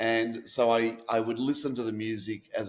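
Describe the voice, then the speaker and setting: Here a man talks with an Australian accent. His voice has a medium pitch and fairly even intonation. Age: 50s. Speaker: author. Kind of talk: interview.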